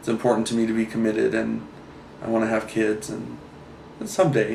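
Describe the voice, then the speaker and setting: The speaker keeps a moderate pace. Audible room echo surrounds the voice. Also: man. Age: 20s. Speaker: photographer. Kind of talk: interview testimony. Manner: halting, many fillers.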